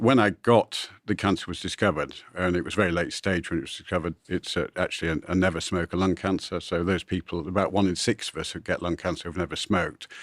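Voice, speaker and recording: Over a silent background in a very clean recording, a man with a very deep, low pitch talks at a very fast pace with fairly even intonation. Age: 60s. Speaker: angel investor. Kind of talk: interview.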